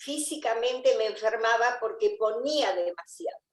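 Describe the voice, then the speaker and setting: A woman talks at a very slow pace. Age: 70s. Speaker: member of a spiritual community. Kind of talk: interview.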